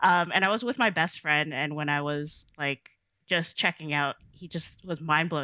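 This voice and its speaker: Speaking at a fairly slow pace, a woman with a Toronto accent has a very deep, low pitch. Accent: Canadian English, Toronto. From Canada, Toronto (Jane and Weston). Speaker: DJ and dancer. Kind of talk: casual interview chat.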